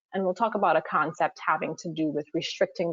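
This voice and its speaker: This woman speaks with a Trinidadian accent. Her pitch is fairly low and her pace fairly quick. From Trinidad and Tobago. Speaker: water affordability consultant. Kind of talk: webinar presentation. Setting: online webinar.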